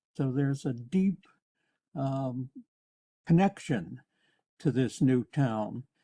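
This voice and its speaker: Dry and close with no echo, a man's medium-pitched voice with a dark, mellow tone moves at a very slow pace, with lively intonation and long, frequent pauses. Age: 80s+. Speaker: resident commenter. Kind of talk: public comment. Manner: halting.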